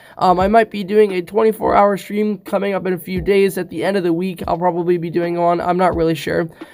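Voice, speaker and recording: Very fast talk with hardly any pauses over noticeable background noise. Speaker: gaming YouTuber. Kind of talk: casual video intro. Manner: hesitant with fillers.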